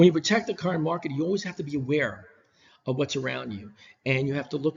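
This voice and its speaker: A somewhat breathy man at a fairly high pitch, with an American accent, a very fast pace and ordinary pitch variation. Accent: New York, comes out at times. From New York. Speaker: business professor. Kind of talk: recorded lecture. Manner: casual, many fillers and restarts.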